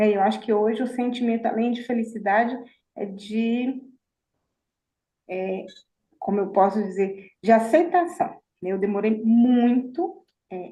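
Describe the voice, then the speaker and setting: At a fairly slow pace with long, frequent pauses, a woman speaks in a fairly high pitch with lively intonation, her voice somewhat breathy and her tone dark and mellow, amid audible room echo. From Minas Gerais, Brazil. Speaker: mentoring participant. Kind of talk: self-introduction in group. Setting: video call.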